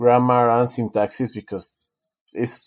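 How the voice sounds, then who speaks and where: With a Spanish accent, a man talks at a fairly slow pace against a quiet background. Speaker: author and design professor. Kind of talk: podcast interview. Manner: halting, many self-corrections.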